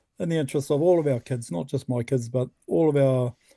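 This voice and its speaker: Dry and close with no echo, a man with a New Zealand accent talks at a fairly quick pace in a fairly high voice, his tone dark and mellow and his intonation lively. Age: 60s. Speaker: environmental activist. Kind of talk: interview. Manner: halting, many fillers and repeats.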